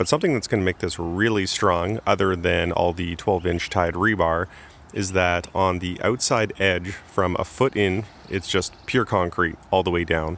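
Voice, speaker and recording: Speaking at a moderate pace, a man with a very deep, low voice comes through dry, without any echo. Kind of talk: casual vlog chat. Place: garden. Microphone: phone near.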